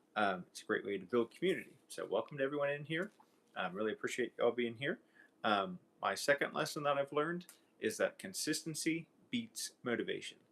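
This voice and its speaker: The voice runs at a fairly quick pace with vocal fry and very wide pitch swings. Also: man, fairly high pitch for a man. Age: 30s. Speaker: youtuber. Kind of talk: live stream chat. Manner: hesitant, many fillers.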